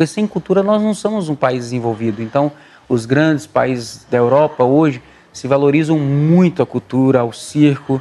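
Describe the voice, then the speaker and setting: This man has a dark, mellow tone at a fairly high pitch and talks at a moderate pace. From Brazil, traveling circus family, born in Pernambuco. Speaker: circus performer. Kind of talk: interview.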